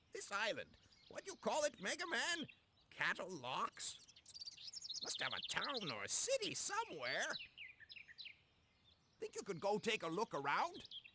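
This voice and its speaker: Putting on a character voice, a man talks at a moderate pace with an extremely high pitch and long, frequent pauses. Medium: video game.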